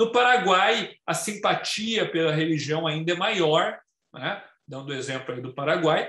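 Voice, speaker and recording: A man with a high voice talks at a fairly slow pace. His intonation is lively and his loudness swings widely. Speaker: lawyer and webinar speaker. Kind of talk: lecture. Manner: halting.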